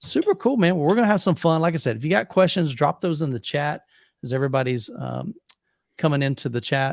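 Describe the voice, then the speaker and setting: In a very clean recording with a silent background and a dry, close sound with no echo, a man with an American accent talks very fast with lively intonation. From US South, Plant City, Florida. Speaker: YouTube livestream host, home theater channel. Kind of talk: casual livestream chat. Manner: animated.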